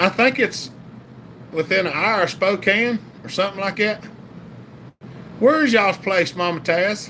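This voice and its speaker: Raising and projecting his voice, a man with a Southern US accent speaks in a bright, sharp tone at a high pitch, with lively intonation and a moderate pace. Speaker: chainsaw channel livestream host. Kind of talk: casual livestream chat reading comments. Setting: live stream.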